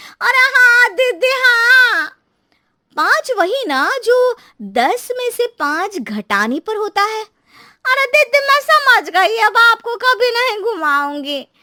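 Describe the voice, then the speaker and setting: In a cartoonish character voice, a woman speaks at an extremely high pitch, raised and projected, fairly slow, with very wide pitch swings. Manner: roundabout, chatty.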